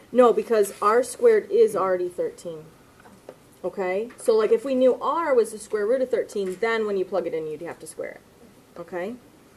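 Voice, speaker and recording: With an ordinary speaking voice, a woman talks at a moderate pace in a fairly high pitch. Her intonation is lively, and her loudness swings widely. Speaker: math teacher. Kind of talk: lecture.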